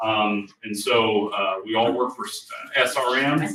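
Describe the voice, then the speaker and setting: A man is speaking. The room echo is audible. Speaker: insurance plan administrator presenter. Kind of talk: informational presentation. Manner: loud.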